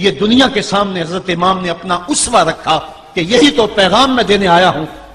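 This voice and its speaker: A man's raised, projected voice, high in pitch with lively intonation, over noticeable background noise. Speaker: Islamic preacher giving a sermon. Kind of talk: religious sermon (bayan) on the Battle of Karbala. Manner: emotive, passionate, oratorical.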